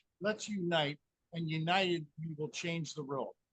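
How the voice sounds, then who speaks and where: A man's high-pitched voice at a fairly slow pace, dry and close with no echo. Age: 60s. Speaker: scalar energy researcher. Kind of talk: interview.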